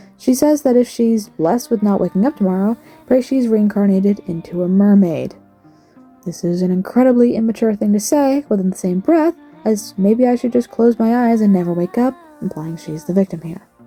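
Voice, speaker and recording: Lively, fairly quick speech from a woman at a medium pitch, with music in the background. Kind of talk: commentary video narration. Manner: fast, slightly slurred speech with stutters.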